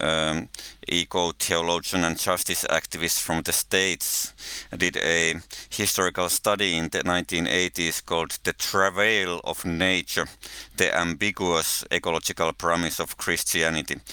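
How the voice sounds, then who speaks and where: A man with a Finnish accent speaks at a fairly slow pace, his very deep, low pitch carrying a bright, sharp tone. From Finland. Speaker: researcher of religion and ecology, podcast co-host. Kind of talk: casual interview conversation.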